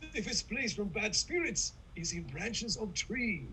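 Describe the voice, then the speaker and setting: A man performs a put-on character voice at a moderate pace. Background noise is clearly heard. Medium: stage play. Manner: broken, clipped English.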